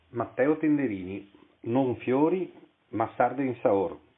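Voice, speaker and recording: Lively intonation runs through delivery that proceeds at a very slow pace. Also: man. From Italy, Venice. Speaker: author. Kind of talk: reading aloud.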